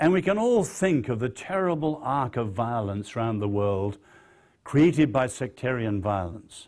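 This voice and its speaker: This man speaks with an English accent. His pitch swings very widely. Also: medium pitch for a man, moderate pace, very clean recording, silent background. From born in China, grew up in post-war western Europe. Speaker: social scientist and author. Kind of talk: public lecture.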